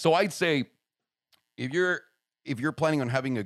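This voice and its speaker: A man speaks with a Spanish accent in an animated, passionate tone. The recording is very clean, with a silent background. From Mexico City. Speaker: podcast host, YouTuber. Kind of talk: casual chat. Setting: makeshift home studio.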